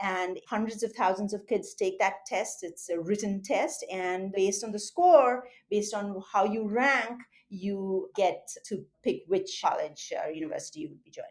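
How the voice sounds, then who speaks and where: This woman's voice has a medium pitch. She speaks with an Indian accent. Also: ordinary pitch variation, moderate pace, hardly any pauses, big swings in loudness. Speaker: surgeon and medical school faculty. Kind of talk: interview.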